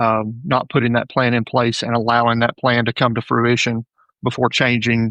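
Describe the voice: With a dry, close sound and no echo, a man talks at a medium pitch in a fairly bright tone and a monotone, flat intonation. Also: moderate pace.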